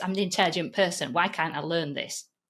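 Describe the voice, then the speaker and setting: A woman with a Yorkshire accent uses a bright, sharp tone and lively intonation on a very clean recording with a silent background. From Yorkshire, northern England. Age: 50s. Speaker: online course trainer and podcast host. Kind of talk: interview conversation.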